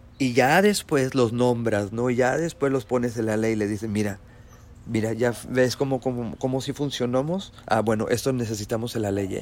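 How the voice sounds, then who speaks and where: A man at medium pitch, in an unremarkable speaking voice, keeps a moderate pace and ordinary pitch variation. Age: 40s. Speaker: podcast host. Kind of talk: solo live commentary monologue. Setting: live stream.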